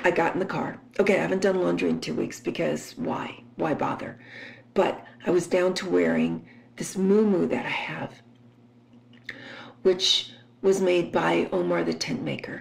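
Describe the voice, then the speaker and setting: Amid noticeable background noise, a woman talks at a moderate pace with long, frequent pauses. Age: 60s. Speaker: podcaster. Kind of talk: casual monologue.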